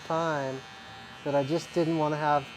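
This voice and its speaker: A man speaks at a moderate pace. His is an unremarkable speaking voice. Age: 50s. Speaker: barber, barbershop owner. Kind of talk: casual chat.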